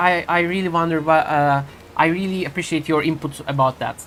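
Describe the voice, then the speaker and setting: A woman with a Turkish accent speaks at a fairly quick pace in a fairly low pitch. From Turkey. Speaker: video game streamer. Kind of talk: live gameplay stream chat. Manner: halting, many fillers and restarts.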